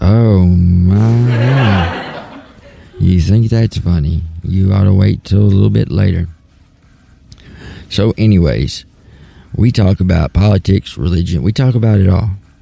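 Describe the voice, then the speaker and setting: A man with a Southern US accent speaks at a very deep, low pitch with ordinary pitch variation and very even loudness. His pace is fairly slow, with long, frequent pauses and noticeable background noise. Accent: southern US accent, twang. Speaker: talk show host. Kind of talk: casual talk show monologue.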